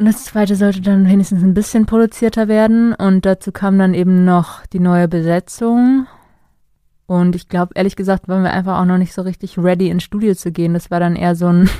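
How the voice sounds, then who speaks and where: In a very clean recording with a silent background, a woman speaks at a fairly quick pace. Her voice is medium in pitch, dark and mellow, with fairly even intonation. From northern Germany, St. Peter-Ording. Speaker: singer-songwriter. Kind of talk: interview. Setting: studio.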